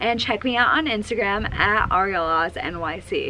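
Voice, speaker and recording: A woman speaks with lively intonation. There is light background noise. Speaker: brand influencer relations manager. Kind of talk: casual vlog chat. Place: street.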